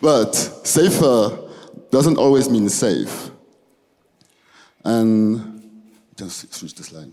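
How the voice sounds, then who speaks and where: A man with a French accent and a dark, mellow tone speaks at a very slow pace, with long, frequent pauses. His intonation is lively, his loudness swings widely, and there is audible room echo. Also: medium pitch for a man. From Belgium. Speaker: student. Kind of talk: presentation. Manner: halting.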